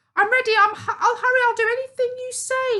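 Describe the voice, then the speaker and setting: Doing a squeaky put-on character voice, a woman talks very fast at an extremely high pitch with monotone, flat intonation. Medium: read story. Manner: shrill, gasping.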